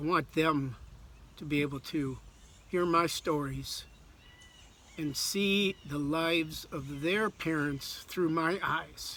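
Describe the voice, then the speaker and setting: A man with a fairly high pitch and a bright, sharp tone speaks at a very slow pace, using fairly even intonation and long, frequent pauses. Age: 60s. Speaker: author. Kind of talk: personal video message.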